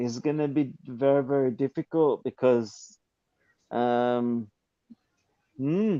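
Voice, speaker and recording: A man speaks very slowly at a medium pitch, his dark, mellow tone broken by long, frequent pauses, with ordinary pitch variation. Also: dry, close sound with no echo. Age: 50s. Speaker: caller on live boxing stream. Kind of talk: casual chat. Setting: in a casino toilet. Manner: halting.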